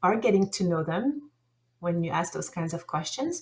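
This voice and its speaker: A woman speaks in a French accent, somewhat breathy. She keeps a moderate pace with ordinary pitch variation. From France. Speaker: language teacher. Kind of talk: conference presentation. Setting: online conference session.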